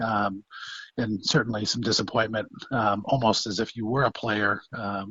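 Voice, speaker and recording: With a plain, everyday voice, a man talks at a moderate tempo. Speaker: college football head coach. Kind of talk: interview answer.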